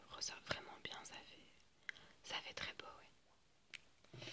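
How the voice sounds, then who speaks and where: A soft-spoken woman at a very slow pace over loud background noise. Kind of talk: role-play makeup chat, ASMR-like. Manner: soft, hushed ASMR speaking. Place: home room.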